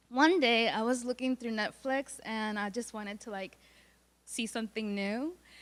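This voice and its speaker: Her fairly high voice moves at a moderate pace with ordinary pitch variation, clearly a woman's. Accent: slight Puerto Rican. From Puerto Rico. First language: Spanish. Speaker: college student. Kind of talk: student presentation. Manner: halting.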